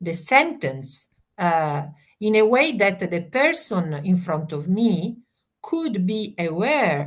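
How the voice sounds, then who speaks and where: A woman speaks very slowly in a somewhat breathy, medium-pitched voice, her pitch swinging very widely. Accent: Italian. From Italy. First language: Italian. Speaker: family mediator. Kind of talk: interview. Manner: halting, many fillers.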